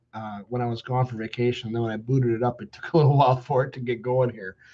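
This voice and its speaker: The voice has a dark, mellow tone and is somewhat breathy. It moves at a very fast pace. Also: man. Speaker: pastor. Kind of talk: bible study teaching. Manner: at times unintelligible; hesitant, many fillers.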